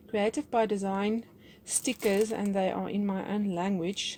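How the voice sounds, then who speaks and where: Speaking in a South African accent, a woman uses a medium pitch. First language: Afrikaans. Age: 40s. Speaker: crafts YouTuber. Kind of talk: craft haul and tutorial chat. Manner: hesitant, many fillers.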